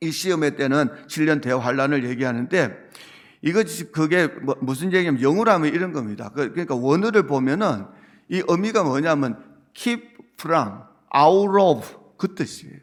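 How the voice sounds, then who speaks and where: Speaking with a Busan accent, a man keeps a moderate pace. His pitch is fairly high and his intonation lively. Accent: Busan accent in English pronunciation. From South Korea, Busan. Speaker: pastor. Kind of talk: sermon. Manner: conversational, asks congregation questions.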